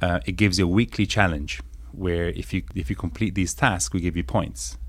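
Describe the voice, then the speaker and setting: A man talks at a moderate pace with vocal fry. His pitch is very deep and low. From northern Italy, raised there from age six; born in England. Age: 30s. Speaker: startup founder. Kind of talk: interview conversation.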